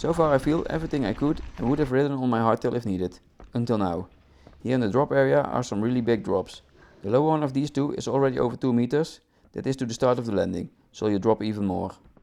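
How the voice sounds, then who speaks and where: Dark and mellow in tone, a man's medium-pitched voice shows ordinary pitch variation. He speaks at a very fast pace. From Netherlands. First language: Dutch. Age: 30s. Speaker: mountain bike vlogger. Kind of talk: video voice-over narration.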